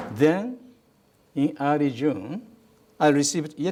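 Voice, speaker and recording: The room echo is audible. A man speaks at a fairly high pitch with ordinary variation. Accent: Japanese. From Japan. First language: Japanese. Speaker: ambassador. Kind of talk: lecture. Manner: reads from a prepared script.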